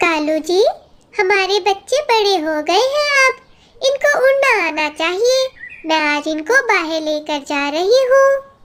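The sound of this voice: A female-sounding cartoonish character voice squeaks at an extremely high pitch. She speaks at a fairly slow pace.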